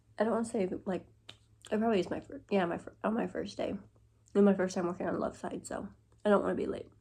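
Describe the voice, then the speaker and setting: The voice has a dark, mellow tone and vocal fry, speaking at a very fast pace in a flat monotone broken by long, frequent pauses. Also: woman, medium pitch for a woman. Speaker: vlogger, fast food worker. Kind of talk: casual vlog.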